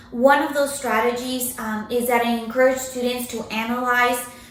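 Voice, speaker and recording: A woman's high voice at a moderate pace, fairly even in intonation, with audible room echo and noticeable background noise. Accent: Spanish. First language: Spanish. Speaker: university writing instructor. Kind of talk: recorded academic presentation. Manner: hesitant with many fillers.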